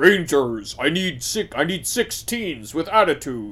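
Putting on a character voice, a man talks at a very slow pace with a fairly high pitch. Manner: commanding.

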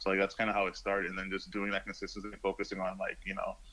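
A man with an American accent has a fairly low pitch, a bright, sharp tone, and a monotone, flat intonation. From New York. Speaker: artist and fashion designer. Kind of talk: interview. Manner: hesitant, many fillers.

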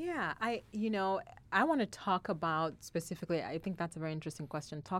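Someone with a non-native accent talks at a fairly quick pace with ordinary pitch variation on a very clean recording with a silent background. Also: woman. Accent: foreign-accented English. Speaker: university student services director. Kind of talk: casual chat.

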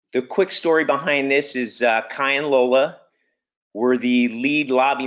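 At a moderate pace, a man with a plain, everyday voice speaks with ordinary pitch variation over a quiet background. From US (Army brat, moved around). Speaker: public school teacher and climate campaigner. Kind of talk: webinar presentation. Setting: video call.

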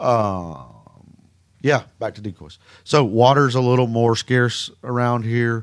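Speaking at a very slow pace, a man uses a medium pitch with ordinary pitch variation and big swings in loudness. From Mississippi. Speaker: duck hunting guide and outfitter. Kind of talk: casual interview.

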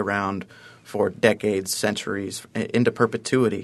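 With an American accent and a normal speaking voice, a man talks at a fairly low pitch with fairly even intonation over a quiet background. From Ohio (Columbus). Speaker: fundraising campaign consultant. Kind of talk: radio interview.

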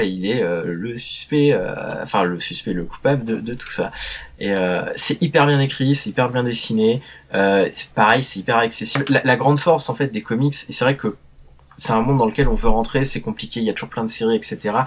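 At a moderate pace, a man talks in a normal speaking voice with a medium pitch and ordinary pitch variation. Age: 30s. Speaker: journalist and comics specialist. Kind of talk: casual chat.

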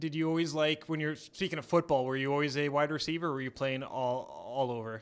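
A man with a Canadian accent talks at a very fast pace with hardly any pauses. His pitch is fairly high and his intonation fairly even. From Edmonton, Alberta, Canada. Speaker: sports podcast host. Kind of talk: casual interview. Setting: stadium.

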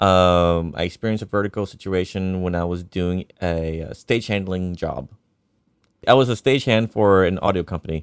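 Very deep and low in pitch, a man speaks at a moderate pace with ordinary pitch variation in a dry, close sound with no echo. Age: 30s. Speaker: tech support worker and guitarist. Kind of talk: casual chat.

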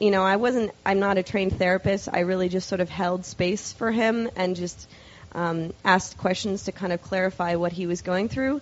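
In an ordinary speaking voice, a woman talks at a moderate pace and medium pitch with fairly even intonation. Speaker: scientist and psychedelic advocate. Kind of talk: lecture. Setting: stage with audience.

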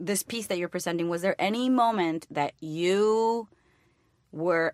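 Recorded very cleanly against a silent background with a dry, close sound and no echo, a woman with a Spanish accent speaks at a fairly low pitch with ordinary pitch variation. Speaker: comedian and actor. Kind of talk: casual chat.

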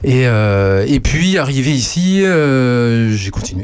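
A man talks with very wide pitch swings. Noticeable background noise runs under his voice. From western France, Poitou. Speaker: radio host and musician. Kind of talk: casual chat. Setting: studio.

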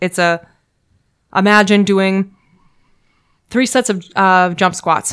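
On a very clean recording with a silent background, a woman at medium pitch speaks at a very slow pace with long, frequent pauses, fairly even intonation and very even loudness. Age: 30s. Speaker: podcast guest. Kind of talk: casual chat.

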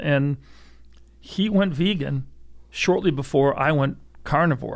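Speaking at a fairly slow pace, a man with a fairly high pitch and ordinary pitch variation is heard on a very clean recording with a silent background. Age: 60s. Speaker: gun storage company founder. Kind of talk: casual chat. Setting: studio.

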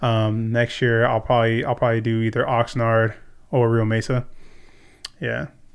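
A man at a medium pitch with a Californian accent, moderate in pace, monotone and flat in intonation, with long, frequent pauses. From California, Ventura. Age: 30s. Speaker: security professional. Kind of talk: casual chat.

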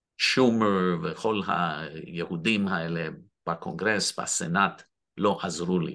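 Very deep and low, this man's voice has a bright, sharp tone and ordinary pitch variation. He speaks at a very slow pace. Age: 60s. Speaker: activist. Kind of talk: interview. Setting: video call. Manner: halting.

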